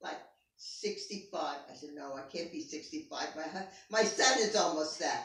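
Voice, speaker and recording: A woman speaks at a medium pitch and a moderate pace, with very wide pitch swings. Audible room echo surrounds her voice. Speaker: interviewee, parent of the interviewer. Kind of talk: family interview.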